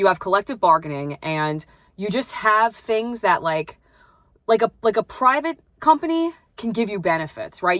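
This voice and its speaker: Speaking at a fairly quick pace, a woman with a New York accent uses a medium pitch that swings very widely, her loudness rising and falling sharply. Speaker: plumbing apprentice and vlogger. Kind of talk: casual vlog chat. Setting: at home. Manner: hesitant, lots of fillers.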